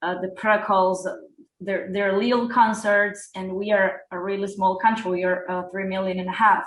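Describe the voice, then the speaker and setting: Monotone, flat intonation comes through in a Spanish accent at a fairly slow pace. There is audible room echo. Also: woman. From Uruguay. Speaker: hip hop artist. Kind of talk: interview. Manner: halting.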